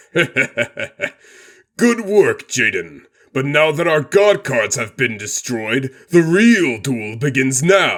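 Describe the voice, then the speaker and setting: A man uses a put-on character voice. He talks at a very slow pace. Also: fairly high pitch for a man. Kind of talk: scripted card game duel. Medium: dub. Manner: commanding, composed.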